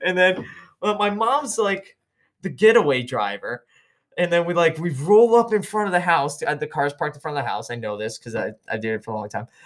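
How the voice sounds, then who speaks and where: A high-pitched man speaks at a fairly quick pace with very wide pitch swings. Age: 30s. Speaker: podcast co-host, military veteran. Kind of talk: casual chat.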